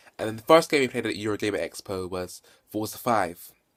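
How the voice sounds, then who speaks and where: This man has a British accent and a medium pitch with ordinary pitch variation. The recording is very clean, with a silent background. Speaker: gaming vlogger. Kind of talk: casual video review. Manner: hesitant, many fillers and repetitions.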